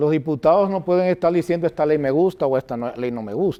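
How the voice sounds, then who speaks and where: This man has a dark, mellow tone, a fairly high pitch, and lively intonation. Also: quiet background. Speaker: political candidate and school director. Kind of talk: interview.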